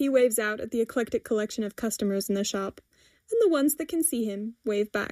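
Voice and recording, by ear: Reading aloud in a natural voice with lively intonation, against a quiet background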